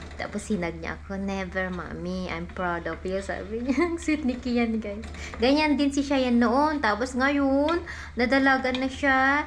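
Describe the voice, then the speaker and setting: Speaking at a fairly slow pace, a woman with a high pitch and lively intonation is heard with audible room echo and noticeable background noise. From Philippines. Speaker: vlogger and mother. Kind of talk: casual family vlog. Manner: chatty, code-switching Tagalog and English.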